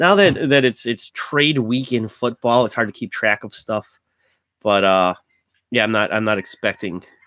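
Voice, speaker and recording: A man with an American accent talks at a moderate pace. The sound is dry and close with no echo, and music plays in the background. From US Midwest, Cleveland, Ohio. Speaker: sports show co-host. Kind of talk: casual chat. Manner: halting, repetitive false starts.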